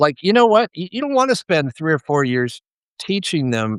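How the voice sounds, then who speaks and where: A man's voice leaps through very wide pitch swings in a very clean recording with a silent background and a dry, close sound with no echo. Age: 70s. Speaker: electrical contractor and author. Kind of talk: podcast interview. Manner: halting, with many restarts.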